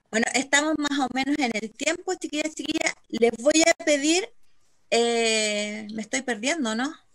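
The speaker has a Chilean accent. The background is quiet. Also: woman, high pitch for a woman, ordinary pitch variation, fairly slow pace. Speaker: nonprofit facilitator. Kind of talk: online meeting moderation. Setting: video call. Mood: warm, friendly. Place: home room. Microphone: video call.

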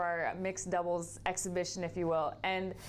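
A woman talks with monotone, flat intonation. Light background noise can be heard. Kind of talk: interview answer. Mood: relaxed, cheerful. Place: studio. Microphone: lapel.

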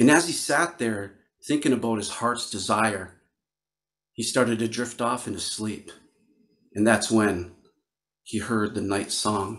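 Speaking fairly slowly with long, frequent pauses, a man with an Upper Midwest US accent shows ordinary pitch variation against a quiet background. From northern Wisconsin. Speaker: Ojibwe storyteller and flute player. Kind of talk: storytelling performance. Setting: virtual video call with audience. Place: home room. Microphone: studio mic.

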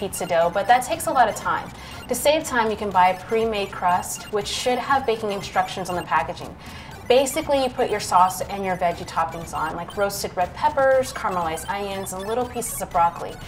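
A woman's lively intonation at a fairly quick pace, with music in the background. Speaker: military chef instructor. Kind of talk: tutorial. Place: kitchen.

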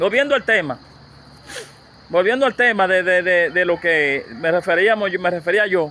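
Pitched high for a man, this speaker uses lively intonation at a moderate pace. He pauses long and often in a dry recording with no echo. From Dominican Republic. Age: 50s. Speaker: YouTuber interviewer. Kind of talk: casual interview. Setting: outdoors at a rural home. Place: farm.

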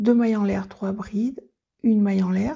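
Her voice has a dark, mellow tone with vocal fry and a husky, rough edge, as a woman speaks at a medium pitch with fairly even intonation.

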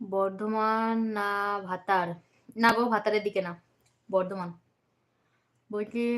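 Her voice sits at a medium pitch. The intonation stays monotone and flat throughout. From West Bengal, Bardhaman. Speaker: vlogger, live-streaming to viewers. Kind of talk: casual live-stream chat with viewers. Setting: indoors at home, doors and windows closed. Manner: chatty, reading and answering comments.

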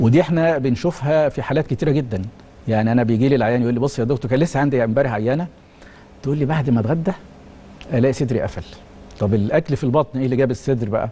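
A man of medium pitch talks very fast with ordinary pitch variation. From Egypt. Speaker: cardiology professor. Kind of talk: TV interview. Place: studio. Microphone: lapel.

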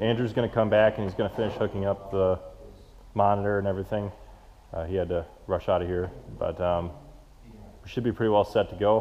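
Light background noise sits behind a man's voice. He speaks at a fairly quick pace with fairly even intonation. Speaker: farmer vlogger. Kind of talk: casual vlog chat. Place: farm machine. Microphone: phone near.

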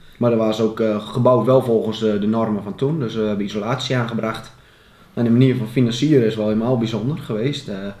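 Man at medium pitch and a fairly quick pace, fairly even intonation, audible room echo and noticeable background noise. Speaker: farmer and football club board member. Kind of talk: interview. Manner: hesitant with fillers.

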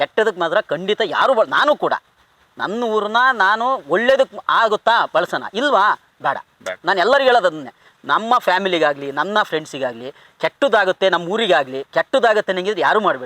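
High for a man, this voice swings very widely in pitch. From Kadur, Chikkamagaluru district, Karnataka. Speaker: comedy film actor. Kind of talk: casual interview, life story. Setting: outdoors in an areca plantation.

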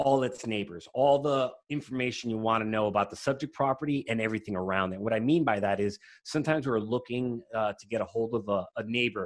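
A man at a fairly quick pace with ordinary pitch variation against a quiet background. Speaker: guest. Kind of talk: tutorial. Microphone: video call.

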